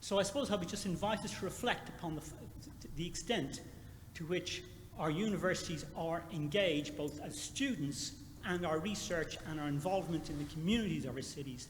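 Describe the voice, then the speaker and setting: A man with an Irish accent speaks at a fairly quick pace in a high pitch with ordinary pitch variation, and the room echo is audible. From Ireland. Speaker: university administrator. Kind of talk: conference Q&A comment.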